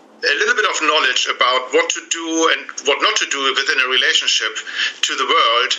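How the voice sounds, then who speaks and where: A man with a German accent, at a moderate pace. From Germany. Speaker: relationship coach. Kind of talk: interview. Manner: halting.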